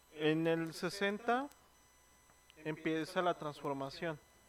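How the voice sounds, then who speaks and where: Very slow speech from a man, fairly high in pitch with ordinary pitch variation. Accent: Mexican. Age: 20s. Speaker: podcast co-host. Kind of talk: casual chat. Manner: animated.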